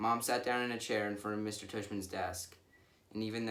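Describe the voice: The clip is plain reading aloud. Nothing else marks the delivery.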